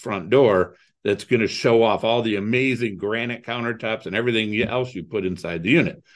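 Medium in pitch, a man with a Midwestern American accent speaks at a moderate pace. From Ohio, US Midwest (Toledo). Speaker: real estate investor. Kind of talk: interview.

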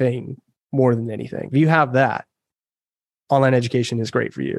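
Moderate-paced, monotone, flat delivery in a dry, close sound with no echo. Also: man. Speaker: online business founder. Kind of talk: casual interview chat.

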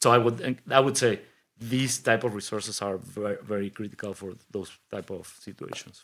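This man speaks with a Spanish accent at a fairly low pitch. His loudness swings widely. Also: moderate pace. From Mexico City, Mexico. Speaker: innovation hub leader and engineer. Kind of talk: interview conversation. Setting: studio. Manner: energetic.

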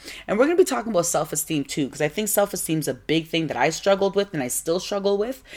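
A woman with a fairly low pitch talks at a very fast pace, barely pausing, in an animated tone. Her intonation is lively, and noticeable background noise sits behind her. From West Africa (Ghanaian parents, born in Nigeria), raised largely in Toronto. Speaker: podcast host. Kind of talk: solo podcast monologue.

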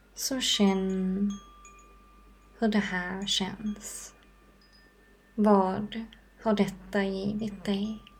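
Very slowly and with long, frequent pauses, a woman speaks in a calm, soothing, somewhat breathy tone at a medium pitch with monotone, flat intonation. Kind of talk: guided meditation. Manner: slow, soft-spoken, calm and soothing with long pauses; gentle, warm and inviting, unhurried.

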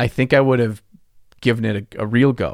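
A man with an unremarkable speaking voice talks at a medium pitch and a moderate pace. The sound is dry and close with no echo, on a very clean recording with a silent background. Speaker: podcast co-host, miniature painting hobbyist. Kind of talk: casual chat. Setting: basement recording, video. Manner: joking, playful.

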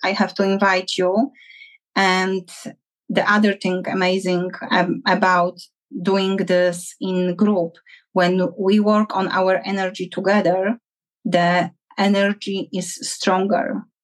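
A woman at medium pitch with a Polish accent, fairly even intonation and a very slow pace. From Poland. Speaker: relationship coach. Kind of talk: interview. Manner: halting.

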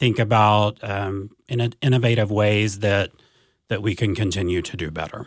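A normal speaking voice moves at a fairly slow pace with fairly even intonation, in a very clean recording with a silent background. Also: man. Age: 40s. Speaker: school district advanced academics coordinator. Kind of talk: interview conversation.

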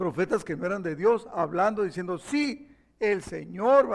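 Intonation rises and falls in a lively way in this unforced reading voice.

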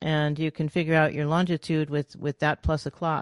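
With an American accent, a woman speaks at a fairly quick pace in a very deep, low pitch, recorded dry and close with no echo over a quiet background. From US Northeast, New York City. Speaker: author and former rocket scientist. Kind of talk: interview.

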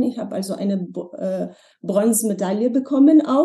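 Woman with a Slovenian accent, dark, mellow tone, fairly slow pace and ordinary pitch variation. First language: Slovenian (speaking German). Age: 40s. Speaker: former model and language teacher. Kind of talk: interview conversation. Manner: hesitant, with many fillers.

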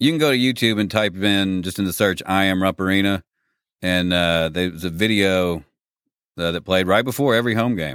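A man with a very deep, low pitch speaks at a fairly quick pace with ordinary pitch variation. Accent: Kentucky. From Kentucky. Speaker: voice-over artist and former radio DJ. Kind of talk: casual chat.

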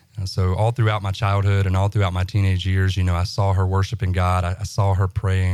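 A man with a Southern US accent speaks at a fairly quick pace in a very deep, low pitch with monotone, flat intonation. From US South, central Alabama. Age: 20s. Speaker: guest sharing faith testimony. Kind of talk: testimony. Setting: studio. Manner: halting, many fillers.

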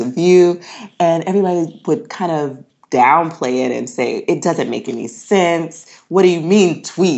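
At a moderate pace, a woman talks in an ordinary speaking voice with a fairly low pitch. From US South, North Carolina. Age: young. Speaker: blogger and mother. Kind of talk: podcast interview.

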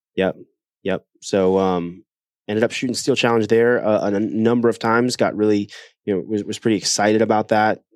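In a plain, everyday voice with an American accent, the speaker talks at a fairly quick pace with fairly even intonation, recorded very cleanly against a silent background with a dry, close sound and no echo. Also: man, fairly low pitch for a man. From Ohio, US Midwest. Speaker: shooting instructor. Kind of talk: casual interview. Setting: on-site at a training facility.

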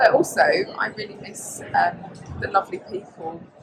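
Noticeable background noise beneath a woman speaking. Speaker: property show presenter. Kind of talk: casual interview. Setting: live at a property show.

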